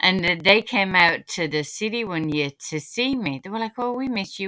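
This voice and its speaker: A woman with a northern English accent, lively intonation and a moderate pace. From northern England. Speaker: podcast host. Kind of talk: casual chat.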